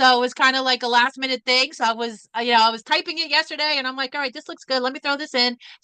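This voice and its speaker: A woman's raised, projected voice, high-pitched with a bright, sharp tone, very fast with hardly any pauses and fairly even intonation, in a dry, close sound with no echo. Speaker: financial coach presenter. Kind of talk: virtual presentation.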